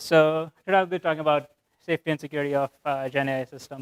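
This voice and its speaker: In a dry, close recording with no echo, a man with a fairly high pitch talks at a fairly quick pace with fairly even intonation. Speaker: software engineer. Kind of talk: lecture. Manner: monotone.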